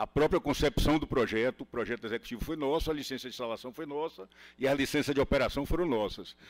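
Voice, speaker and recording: In a dry, close sound with no echo, a man talks very fast at a fairly high pitch with ordinary pitch variation. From Bahia, Brazil. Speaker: highway concession executive. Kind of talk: panel talk at a workshop. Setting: workshop with live audience. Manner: hesitant, with frequent fillers and repeats.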